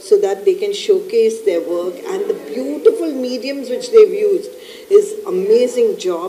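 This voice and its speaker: Light background noise sits behind a woman with an extremely high voice. She speaks at a fairly slow pace with very wide pitch swings. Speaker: guest. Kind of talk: interview answer. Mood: warm, appreciative. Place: hall.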